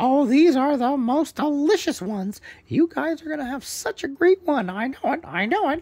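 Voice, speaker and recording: This is a put-on character voice. The tone is warm. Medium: read story. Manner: warm, welcoming.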